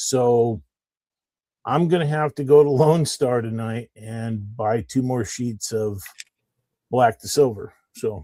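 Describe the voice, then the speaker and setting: A man with a dark, mellow tone speaks very slowly at a medium pitch, with ordinary pitch variation. His loudness swings widely, and long, frequent pauses break up his speech. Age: 60s. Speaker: tradesman who sells hats. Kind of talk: casual chat.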